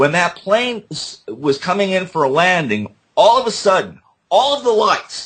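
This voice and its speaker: Very wide pitch swings mark this man's high voice. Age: 60s. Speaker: JFK assassination researcher. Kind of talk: interview. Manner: halting, many fillers.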